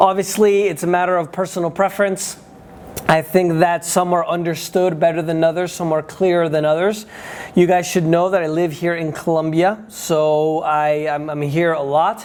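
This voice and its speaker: Someone with a Spanish accent speaks at a moderate pace over noticeable background noise. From United States. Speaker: day trading educator and travel vlogger. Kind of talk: casual vlog talk. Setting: indoors at trading office. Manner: halting, many fillers.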